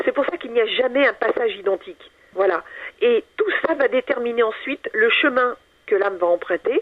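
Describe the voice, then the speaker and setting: A woman speaks with a high pitch and very wide pitch swings. Her pace is moderate. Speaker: author and paranormal researcher. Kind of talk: radio interview.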